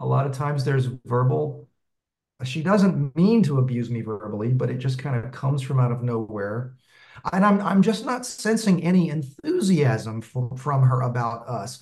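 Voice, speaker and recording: A somewhat breathy man of medium pitch, with lively intonation and a moderate pace. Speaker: meetup participant seeking relationship advice. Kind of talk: casual chat.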